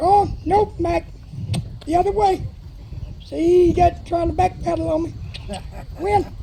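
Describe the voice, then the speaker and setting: With an American accent, a loud voice speaks at a fairly slow pace with long, frequent pauses over noticeable background noise. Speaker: horse trainer. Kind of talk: live demonstration with sermon. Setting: PA system at outdoor horse pen.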